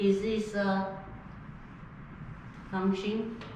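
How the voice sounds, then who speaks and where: A woman's medium-pitched voice at a very slow pace, with noticeable background noise and audible room echo. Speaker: math instructor. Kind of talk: lecture. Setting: online class recording.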